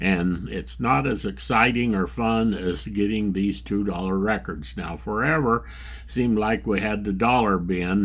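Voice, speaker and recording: A man's fairly low voice with vocal fry and very wide pitch swings, at a fairly slow pace, in audible room echo. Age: 80s+. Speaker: record collector vlogger. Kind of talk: casual vlog. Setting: record store. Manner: relaxed conversational.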